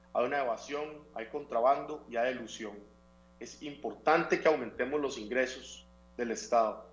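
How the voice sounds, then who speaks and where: Speaking at a moderate pace, a man uses a normal speaking voice, fairly high in pitch with ordinary pitch variation. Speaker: civic foundation representative. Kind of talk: interview.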